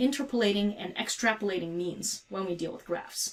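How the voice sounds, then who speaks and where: Soft-spoken, a woman talks at a moderate pace with lively intonation. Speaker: physics teacher. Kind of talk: tutorial.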